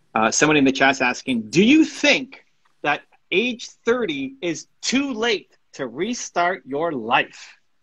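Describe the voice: A man talks slowly with big pitch swings around a fairly high pitch. His tone is fairly bright, with a slightly husky edge.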